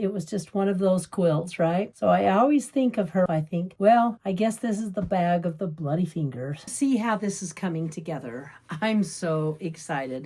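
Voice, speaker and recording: Somewhat breathy and dark, mellow in tone, a woman with a fairly low pitch talks at a moderate pace with lively intonation and hardly any pauses. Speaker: quilting channel host. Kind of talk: sewing tutorial. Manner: animated.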